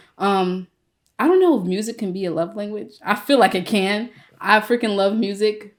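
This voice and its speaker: A woman with an American accent and an ordinary speaking voice talks at a moderate pace and medium pitch with ordinary pitch variation, on a very clean recording with a silent background. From Virginia, Newport News. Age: 20s. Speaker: podcast guest. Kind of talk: casual chat.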